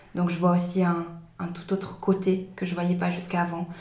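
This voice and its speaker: Monotone, flat intonation with audible room echo. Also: woman. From Switzerland, Valais. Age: 20s. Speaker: trainee early childhood educator. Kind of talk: interview conversation.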